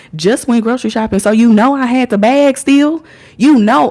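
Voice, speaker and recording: At a moderate pace, a woman with a high pitch speaks in an American accent. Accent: has an accent, per others. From Indiana, US. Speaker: livestreamer. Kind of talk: casual livestream storytelling.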